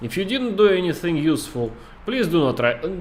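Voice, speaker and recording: A man with a Russian accent, very wide pitch swings and a moderate pace, over noticeable background noise. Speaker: game streamer talking to chat. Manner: casual, chatty.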